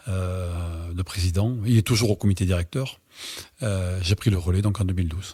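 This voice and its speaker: Dark and mellow in tone, this somewhat breathy voice moves at a moderate pace with ordinary pitch variation. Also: man, very clean recording, silent background. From southwest France, Dordogne (Bergerac). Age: 60s. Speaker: swimming club president. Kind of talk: interview. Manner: hesitant, frequent fillers.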